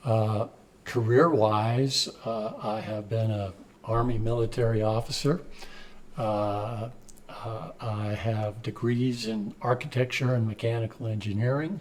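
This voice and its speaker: A man's somewhat breathy voice at medium pitch, fairly slow, with fairly even intonation. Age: 70s. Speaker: community organization president, retired executive. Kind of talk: interview answers. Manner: halting, many fillers.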